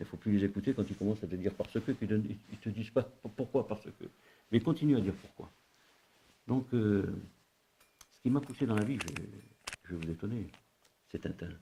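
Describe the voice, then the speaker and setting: Somewhat breathy and dark, mellow in tone, a man talks at a fairly quick pace with a fairly low pitch and ordinary pitch variation. He leaves long, frequent pauses. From North Africa. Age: 70s. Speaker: retired civil servant and consultant. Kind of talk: interview. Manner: halting, many hesitations.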